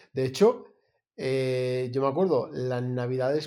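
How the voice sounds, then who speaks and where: A man at a medium pitch, speaking at a fairly slow pace with ordinary pitch variation. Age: 40s. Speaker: photographer, podcast co-host. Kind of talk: casual chat. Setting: remote call, different continents. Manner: halting, many fillers and repetitions.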